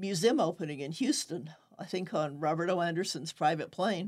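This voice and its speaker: An unremarkable speaking voice from a woman with an American accent, fairly low in pitch, with ordinary pitch variation and a moderate pace. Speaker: newspaper owner and podcast host. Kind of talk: interview.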